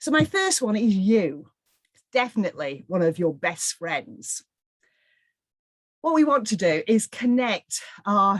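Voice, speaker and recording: A woman with a northwest English accent speaks at a fairly slow pace with very wide pitch swings and long, frequent pauses, in a dry, close sound with no echo. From northwest England. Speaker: charity fundraising trainer. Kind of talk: webinar presentation. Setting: online webinar.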